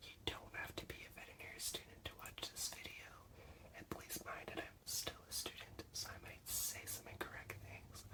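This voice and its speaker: A man whispers at a moderate pace. Noticeable background noise runs underneath. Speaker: veterinary assistant student. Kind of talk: ASMR study-with-me teaching. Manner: soft-spoken.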